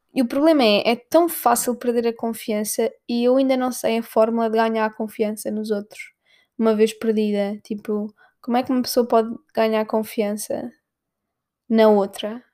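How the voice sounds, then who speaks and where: In a very clean recording with a silent background, a woman with a European Portuguese accent talks at a fairly slow pace in a fairly high pitch with fairly even intonation. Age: 20s. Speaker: podcaster and comedian. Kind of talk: casual monologue.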